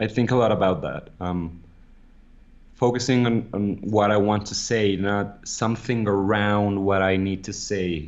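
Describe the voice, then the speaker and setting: A non-native accent at a fairly slow pace, with ordinary pitch variation. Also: man. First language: not English. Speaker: podcast co-host. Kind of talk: casual chat. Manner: halting.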